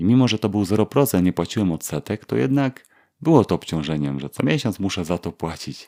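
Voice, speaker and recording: In a very clean recording with a silent background, a man with a very deep, low pitch and dark, mellow tone talks at a fairly quick pace with very wide pitch swings. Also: dry, close sound with no echo. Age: 40s. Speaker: podcast host, engineer. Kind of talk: solo podcast monologue. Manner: halting, many fillers.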